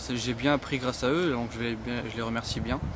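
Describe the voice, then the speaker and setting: A man is heard with clear background noise running under his speech. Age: 20s. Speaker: social inclusion worker. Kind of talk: interview testimony. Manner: halting, many hesitations.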